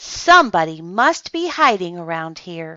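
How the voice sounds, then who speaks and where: Using a put-on character voice, a woman talks at a moderate pace with lively intonation. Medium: read story.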